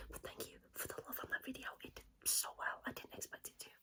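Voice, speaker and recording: Someone whispers at a fairly quick pace. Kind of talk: ASMR manga recommendation, casual talk to camera. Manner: whispered, casual.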